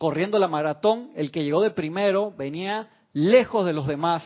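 The tone is animated. The pace is fairly slow. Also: man. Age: 40s. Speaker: spiritual teacher. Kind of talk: spiritual class. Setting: online radio and TV broadcast.

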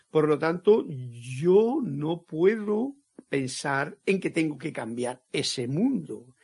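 Very wide pitch swings run through a fairly high-pitched man's voice as he speaks at a very slow pace. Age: 70s. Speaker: spiritual teacher. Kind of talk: lecture. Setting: online live stream.

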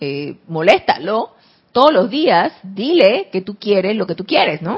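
The woman here talks at a fairly slow pace. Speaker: spiritual teacher. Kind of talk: spiritual class. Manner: soft-spoken.

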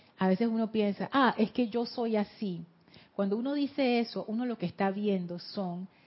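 A somewhat breathy woman with a Panama City accent, fairly slow in pace, her pitch varying in an ordinary way. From Panama City, Panama. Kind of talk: teaching talk with guided meditation.

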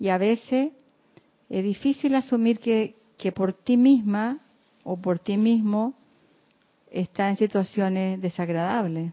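At a very slow pace with long, frequent pauses, a woman speaks at a medium pitch with ordinary pitch variation. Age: 60s. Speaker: class participant. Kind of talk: casual discussion.

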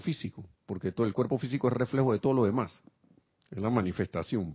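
Somewhat breathy, a man's voice sits at a medium pitch with ordinary pitch variation. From Panama. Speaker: spiritual teacher. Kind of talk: spiritual class.

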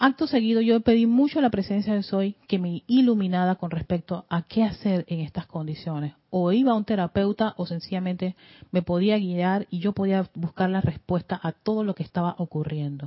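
A woman talks in an animated tone at a moderate pace and medium pitch, somewhat breathy, with ordinary pitch variation. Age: 50s. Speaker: spiritual teacher. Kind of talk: lecture.

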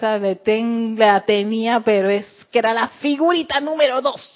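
A woman's fairly high pitch with lively intonation. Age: 40s. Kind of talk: spiritual lecture. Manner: halting, frequent word repetitions; laughs often.

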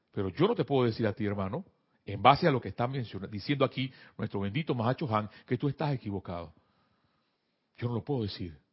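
With lively intonation and a somewhat breathy medium pitch, a man speaks at a very fast pace, broken by long, frequent pauses. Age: 50s. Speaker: spiritual teacher. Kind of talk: spiritual class. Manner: halting.

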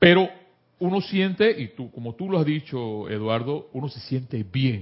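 Fairly slow, somewhat breathy speech with lively intonation. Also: man. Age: 50s. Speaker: spiritual study group leader. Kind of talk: spiritual class talk.

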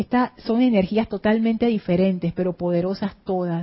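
A woman with a somewhat breathy voice at a fairly slow pace. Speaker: spiritual teacher. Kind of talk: spiritual class livestream. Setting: studio.

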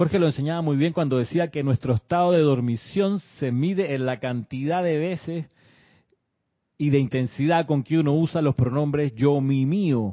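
Moderate pace with ordinary pitch variation. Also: man. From Chile. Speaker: spiritual teacher. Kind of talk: livestream class. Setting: live stream.

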